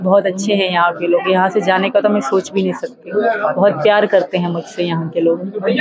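A woman's voice comes through dry with no echo over loud background noise. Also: moderate pace. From Pakistan. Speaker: interviewee. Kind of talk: interview answer. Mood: earnest, at times emotional. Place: home room. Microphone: handheld.

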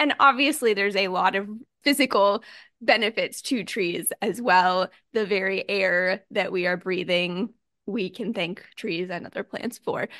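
The speech comes in a normal speaking voice, fairly slow, with ordinary pitch variation. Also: woman, medium pitch for a woman. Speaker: podcast host. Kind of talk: casual chat.

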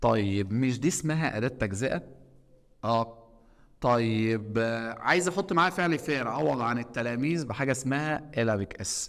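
This man's voice sits at a medium pitch and has lively intonation. He talks at a fairly slow pace against a quiet background. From Egypt. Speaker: teacher. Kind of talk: lecture. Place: classroom.

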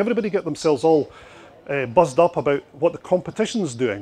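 Speaking in a Scottish accent, a man talks at a very fast pace and a high pitch with very wide pitch swings. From Scotland. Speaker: marketing consultant and speaker. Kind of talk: conference presentation. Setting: stage with audience at expo. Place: hall. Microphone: handheld.

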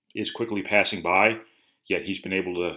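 The man's voice is very deep and low, yet bright and sharp in tone. He speaks with monotone, flat intonation over a quiet background. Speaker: sports reporter. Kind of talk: commentary. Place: home room. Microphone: webcam.

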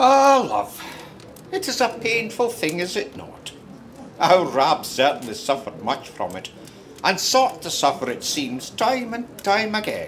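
A man speaks at a fairly slow pace and a high pitch, with very wide pitch swings and big swings in loudness. Noticeable background noise runs throughout. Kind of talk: period audio drama narration, fireside storytelling. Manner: warm, conversational, unhurried storyteller.

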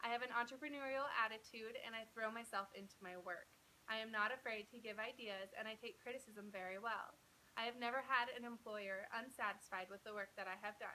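A bright, sharp tone in an American accent, fairly quick in pace, with fairly even intonation over light background noise. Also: woman, fairly high pitch for a woman. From Utah (Provo). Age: 20s. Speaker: job applicant. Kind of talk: video job application pitch. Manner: formal. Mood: upbeat, confident, smiling. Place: home room. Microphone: phone near.

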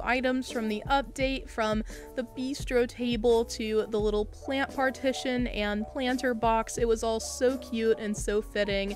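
A woman's upbeat, enthusiastic voice, fairly high and fairly slow, with music in the background. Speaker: gaming YouTuber. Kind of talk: casual gameplay commentary voiceover.

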